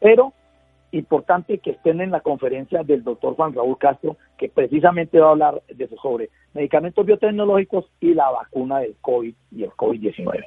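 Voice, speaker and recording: A man speaks at a moderate pace with a fairly high pitch, lively intonation and big swings in loudness. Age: 60s. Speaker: patient advocate and journalist. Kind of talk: radio interview. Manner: halting.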